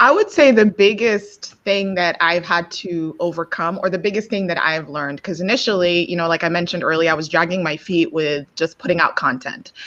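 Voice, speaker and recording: This woman talks at a fairly quick pace with hardly any pauses, in a fairly low pitch with ordinary variation. Noticeable background noise sits behind her. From Nigeria and Kenya. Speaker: LinkedIn content creator, finance educator. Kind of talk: casual chat.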